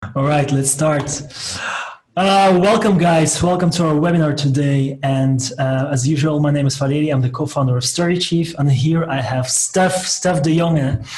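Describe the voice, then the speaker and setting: A man speaks at a fairly high pitch with very even loudness. There is audible room echo and noticeable background noise. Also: ordinary pitch variation, moderate pace. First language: Dutch (Flemish). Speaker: software company co-founder and webinar host. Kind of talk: interview. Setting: video call webinar.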